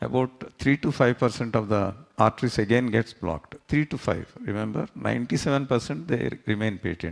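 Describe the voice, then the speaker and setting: Using a medium pitch, lively intonation and vocal fry, a man talks at a moderate pace with hardly any pauses. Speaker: cardiologist. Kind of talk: health talk.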